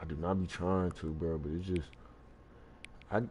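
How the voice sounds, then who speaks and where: Soft-spoken, a man talks at a moderate pace. His pitch variation is ordinary. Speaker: gaming streamer. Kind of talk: casual live stream chat. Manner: soft-spoken, talks low; casual, filler-heavy.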